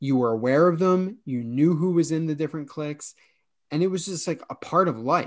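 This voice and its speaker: Against a quiet background, a man with a plain, everyday voice speaks at a moderate pace. His pitch is fairly high, with ordinary pitch variation. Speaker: podcast host.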